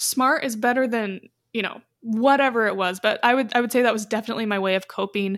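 Fairly high in pitch with fairly even intonation, a woman speaks in an ordinary speaking voice on a very clean recording with a silent background. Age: 20s. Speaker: podcast host. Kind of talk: casual chat.

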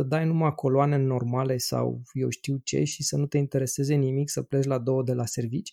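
A man's somewhat breathy voice with a dark, mellow tone, fairly high in pitch, at a moderate pace, in a dry, close sound with no echo. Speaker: podcast host and radiologist. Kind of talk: casual chat.

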